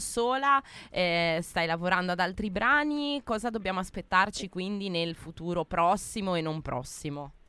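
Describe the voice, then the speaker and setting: At a fairly slow pace, a woman speaks in a medium pitch with a bright, sharp tone. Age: 20s. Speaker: radio host. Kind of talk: casual radio chat. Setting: studio.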